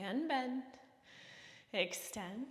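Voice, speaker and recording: Calm in tone, a woman speaks with a high pitch and lively intonation amid noticeable background noise and audible room echo. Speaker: fitness instructor. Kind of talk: workout class instruction. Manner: calm, encouraging instruction.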